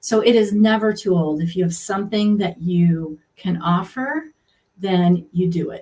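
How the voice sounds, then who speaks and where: Speaking at a fairly slow pace, a woman has a medium pitch and a somewhat breathy quality. Her tone is dark and mellow. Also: ordinary pitch variation. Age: 60s. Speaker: healthcare professional turned coaching client. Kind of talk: interview.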